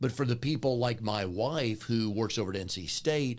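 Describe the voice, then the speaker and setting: The recording is very clean, with a silent background. A man speaks at a moderate pace with a medium pitch and ordinary pitch variation. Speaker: podcast host, business coach. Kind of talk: casual interview conversation. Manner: loud.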